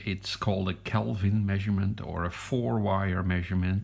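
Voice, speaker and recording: A man talks at a fairly slow pace with a Dutch accent. His pitch is fairly low. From Netherlands. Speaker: electronics hobbyist. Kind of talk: product review. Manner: hesitant.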